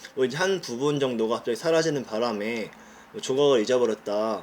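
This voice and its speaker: This is a man speaking. His pitch is medium. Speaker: dental technology student. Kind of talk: student presentation. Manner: fast.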